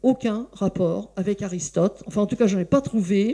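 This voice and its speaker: A woman speaks with a dark, mellow tone and a medium pitch. Her pace is moderate and her pitch varies in an ordinary way. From France. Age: 60s. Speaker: philosophy lecturer. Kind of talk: public talk. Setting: bookshop event with audience. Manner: hesitant, many fillers.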